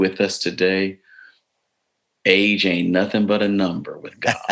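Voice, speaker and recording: Monotone and flat in intonation, a man with an American accent speaks at a very deep, low pitch. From US South, East Tennessee. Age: 60s. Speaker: bishop. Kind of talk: interview conversation. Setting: live webinar.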